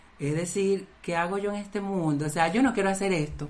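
A woman speaks with ordinary pitch variation, and audible room echo surrounds her voice. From Venezuela. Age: 30s. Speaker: podcast co-host. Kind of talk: casual chat.

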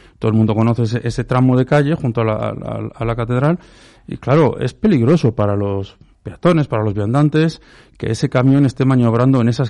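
A man at a medium pitch, dark, mellow tone, ordinary pitch variation and fairly quick pace, with a quiet background. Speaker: local opposition politician. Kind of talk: radio panel debate.

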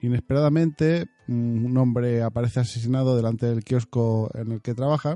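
Music plays in the background while a man with a medium pitch talks at a moderate pace. The sound is dry and close with no echo, and his pitch variation is ordinary. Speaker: podcast host. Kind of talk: casual monologue. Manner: hesitant fillers.

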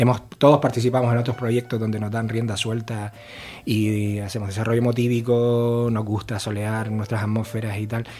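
Against noticeable background noise, a man speaks at a moderate pace with a medium pitch and a monotone, flat intonation. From Canary Islands (Gran Canaria). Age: 50s. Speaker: jazz trumpeter. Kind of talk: interview.

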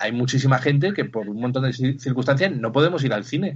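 At a very fast pace, a man with a fairly high, somewhat breathy voice speaks with lively intonation. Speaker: podcast co-host. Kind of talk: casual chat.

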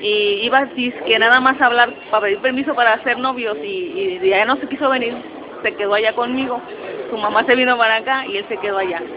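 With lively intonation, a woman speaks over noticeable background noise. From Mexico City. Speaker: migrant, graphic designer, mother. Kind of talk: interview, personal story. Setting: recorded in a public space, in person.

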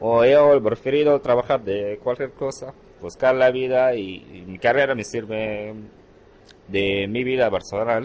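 Speaking at a fairly slow pace, a man uses a medium pitch and fairly even intonation. His volume shows big swings in loudness. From Syria, Hama. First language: Arabic (speaking Spanish). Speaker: immigrant shop worker. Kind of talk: recorded interview. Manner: hesitant, non-native phrasing.

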